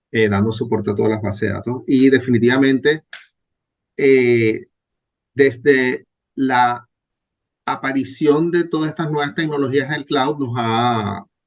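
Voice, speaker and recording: At a fairly slow pace, a man talks in a medium-pitched voice with ordinary pitch variation. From Venezuela. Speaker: database administrator. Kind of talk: interview.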